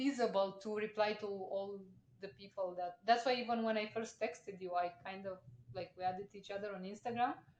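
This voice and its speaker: A woman talks at a fairly quick pace and a medium pitch. Her intonation stays fairly even while her loudness swings widely. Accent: non-native. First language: not English. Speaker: podcast host. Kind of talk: casual chat.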